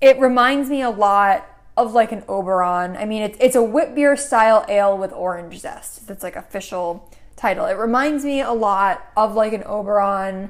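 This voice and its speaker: An American accent marks this woman's unremarkable speaking voice, fairly high in pitch with ordinary variation, at a moderate pace with big swings in loudness. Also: very clean recording, silent background. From Connecticut, US. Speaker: podcast co-host. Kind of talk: casual chat.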